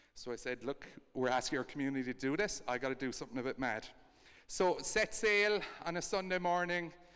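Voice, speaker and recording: Here a man speaks fairly quickly with an Irish accent. His voice is fairly high, with lively intonation. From Ireland. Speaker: co-founder of a kindness project. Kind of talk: storytelling talk.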